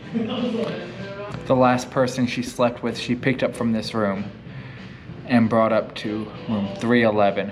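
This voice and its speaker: Over noticeable background noise, a man with a medium-pitched voice talks at a fairly slow pace with fairly even intonation. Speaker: paranormal explorer YouTuber. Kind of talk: vlog narration.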